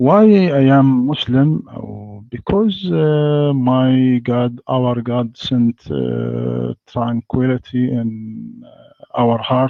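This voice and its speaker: A man speaks very slowly with an Arabic accent. Music plays in the background. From Egypt. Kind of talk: debate. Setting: online voice chat. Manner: halting.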